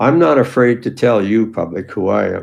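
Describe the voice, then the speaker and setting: A man with a Canadian accent speaks at a fairly low pitch. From Canada, Ontario. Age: 80s+. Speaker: retired police officer. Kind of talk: personal testimony monologue. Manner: hesitant, many fillers.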